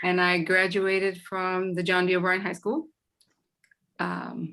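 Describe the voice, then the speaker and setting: A woman in a Boston accent speaks at a fairly slow pace with medium pitch, a bright, sharp tone and monotone, flat intonation. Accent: Boston American English. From Boston, US. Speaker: former student. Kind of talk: community meeting testimony.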